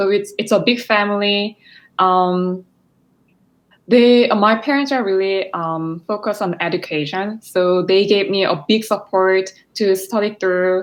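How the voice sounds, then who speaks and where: In a Korean accent, a woman speaks fairly slowly at medium pitch with fairly even intonation, in a very clean recording against a silent background. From South Korea, Seoul. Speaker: physical therapist and graduate student. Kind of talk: interview.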